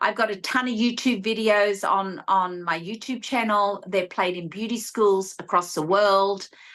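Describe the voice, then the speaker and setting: In an Australian accent, a woman speaks fairly slowly at a medium pitch with fairly even intonation. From Australia (rural New South Wales, near Sydney). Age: 60s. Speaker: esthetician and beauty educator. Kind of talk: interview advice.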